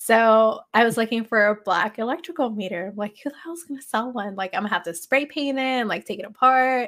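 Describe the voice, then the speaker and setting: In a very clean recording with a silent background, a woman with an American accent uses a normal speaking voice, fairly high in pitch with ordinary pitch variation, at a fairly quick pace. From Los Angeles, US. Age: 30s. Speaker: HVAC technician, social media creator. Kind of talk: casual chat.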